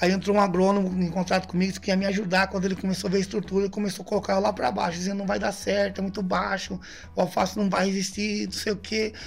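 A man rushes along at a very fast pace with hardly any pauses, his high voice monotone and flat. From interior of São Paulo state, Brazil. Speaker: missionary. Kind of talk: casual interview. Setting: studio.

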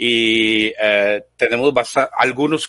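Bright, sharp tone with a Costa Rican accent and ordinary pitch variation, dry and close with no echo against a quiet background. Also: man. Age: 50s. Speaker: software engineer and business owner. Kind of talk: panel discussion. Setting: live online broadcast. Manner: animated.

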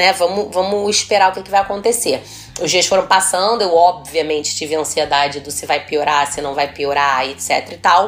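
A woman speaks at a moderate pace in a fairly low pitch, with ordinary pitch variation, big swings in loudness, and noticeable background noise. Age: 30s. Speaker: gynecologist and podcast host. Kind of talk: casual chat.

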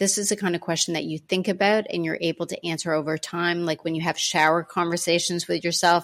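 A woman with a Canadian accent and an ordinary speaking voice talks at a fairly quick pace and fairly low pitch. Her intonation is fairly even, and the recording is very clean with a silent background. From Canada. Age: 40s. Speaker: self respect coach. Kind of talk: interview.

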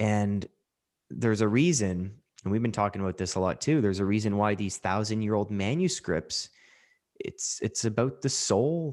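In a normal speaking voice, a man speaks at a moderate pace with a fairly low pitch and ordinary pitch variation. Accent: Canadian. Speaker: podcast host and mental health coach. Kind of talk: casual chat, podcast conversation.

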